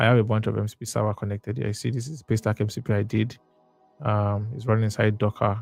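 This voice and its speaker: With music in the background, a man talks at a very fast pace. His pitch is fairly low. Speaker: software developer live streamer. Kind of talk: live coding stream. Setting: live stream. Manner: casual, energetic.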